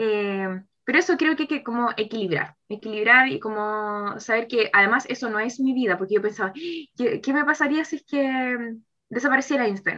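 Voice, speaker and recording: Over a quiet background, a woman with a high pitch and a bright, sharp tone speaks at a moderate pace with lively intonation. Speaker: teacher and writer. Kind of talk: casual chat.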